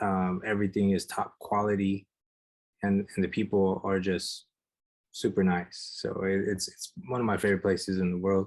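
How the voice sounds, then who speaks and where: The background is quiet. A man speaks in a fairly low pitch with monotone, flat intonation. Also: moderate pace. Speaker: street artist. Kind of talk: casual chat. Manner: soft-spoken.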